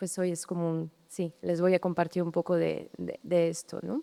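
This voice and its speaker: A woman talks at a fairly slow pace in a medium pitch with a dark, mellow tone. The sound is dry and close with no echo, on a very clean recording with a silent background. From France, Brittany. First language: French (speaking Spanish). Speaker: landscape architect. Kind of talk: public talk. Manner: halting, many repetitions.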